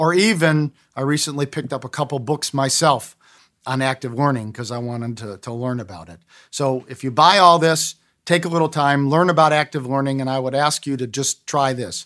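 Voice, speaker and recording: This man's voice sits fairly high, with ordinary pitch variation and big swings in loudness, on a very clean recording with a silent background. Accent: Inland North American. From Cleveland, Ohio, US. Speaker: business professor and textbook author. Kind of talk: interview.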